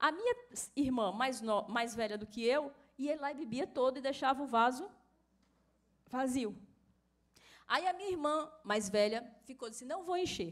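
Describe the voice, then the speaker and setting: With a Bahian accent, a woman speaks at a moderate pace and a high pitch, using lively intonation and long, frequent pauses. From Bahia, Brazil. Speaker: course instructor. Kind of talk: lecture.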